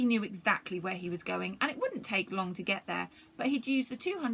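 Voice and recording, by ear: Natural-sounding reading aloud with lively intonation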